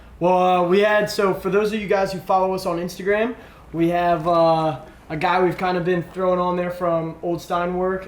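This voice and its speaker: Heard with audible room echo, a man speaks fairly quickly in a high voice. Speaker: gaming show co-host. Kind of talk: casual chat. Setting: live stream.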